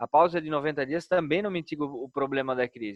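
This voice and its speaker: With a Brazilian accent, a man talks at a moderate pace. His pitch is fairly high, with ordinary variation. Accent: non-Brasília regional accent, noticeable. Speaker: bank executive. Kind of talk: business webinar Q&A. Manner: hesitant, many repetitions.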